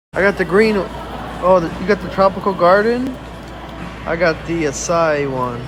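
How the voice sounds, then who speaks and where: A man's high-pitched, animated voice with lively intonation, amid audible room echo and noticeable background noise. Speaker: family vlogger. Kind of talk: casual vlog chat. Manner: casual, animated.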